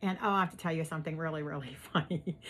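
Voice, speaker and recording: Heard on a very clean recording with a silent background, the speaker has a strong Pittsburgh accent. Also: woman. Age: old. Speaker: YouTube host. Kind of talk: casual chat.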